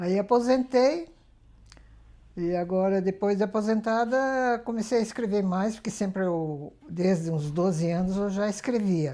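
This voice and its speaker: Speaking at a fairly slow pace, a woman with a medium pitch and a dark, mellow tone uses lively intonation. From Brazil, São Paulo state (Pilar do Sul). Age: 80s+. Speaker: retired court clerk and writer, interviewee. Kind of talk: interview testimony.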